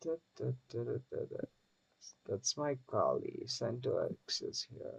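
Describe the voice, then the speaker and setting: A man with a non-native accent talks at a fairly slow pace, his sound dry and close with no echo. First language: not English. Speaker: streamer building software. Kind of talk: casual chat.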